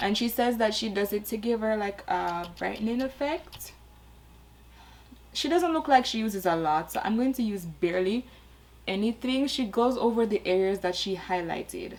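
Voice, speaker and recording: A woman talks at a moderate pace in a normal speaking voice. Her pitch is fairly high and her intonation lively. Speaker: beauty YouTuber. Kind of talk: makeup tutorial.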